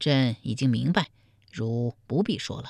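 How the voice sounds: A woman uses a put-on character voice at an extremely low pitch, with vocal fry and a slightly mellow tone. Her intonation is lively, and the recording is very clean with a silent background. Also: fairly slow pace.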